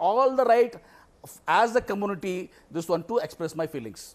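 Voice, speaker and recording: A man's high voice at a fairly quick pace, with ordinary pitch variation. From India, Karnataka. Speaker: politician. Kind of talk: heated debate. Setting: remote broadcast link. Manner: animated.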